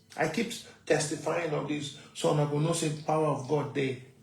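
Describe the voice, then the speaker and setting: A man at a fairly high pitch and moderate pace, with audible room echo. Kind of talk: testimony.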